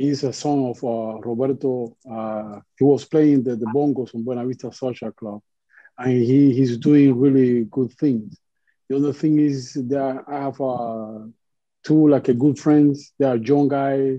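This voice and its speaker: A man speaks with a Cuban accent at a medium pitch. His pace is fairly slow and his intonation fairly even. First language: Spanish. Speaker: musician. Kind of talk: panel discussion. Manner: halting.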